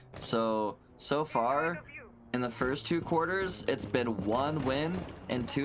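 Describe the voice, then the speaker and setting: Very slow speech with noticeable background noise. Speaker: esports caster. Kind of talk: live commentary. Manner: animated.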